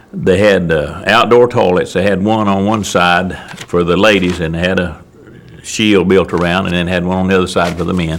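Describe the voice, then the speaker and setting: Through noticeable background noise and audible room echo, a man with an American accent talks in a very deep, low voice with fairly even intonation. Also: moderate pace. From US South, Wilkes County, North Carolina. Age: 70s. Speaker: elderly local resident, oral history interviewee. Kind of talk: oral history interview. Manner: halting, many fillers.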